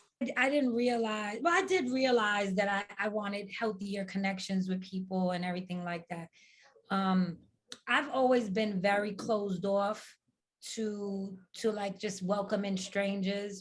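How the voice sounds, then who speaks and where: A woman's medium-pitched voice moves along at a fairly slow pace. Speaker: podcast co-host. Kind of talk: casual chat. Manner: loud; animated.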